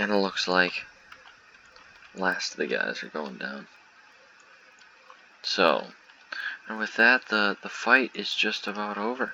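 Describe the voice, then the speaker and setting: Long, frequent pauses break up fairly slow speech over noticeable background noise. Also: man. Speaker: gaming youtuber. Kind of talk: gameplay commentary. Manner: halting, many fillers and repetitions.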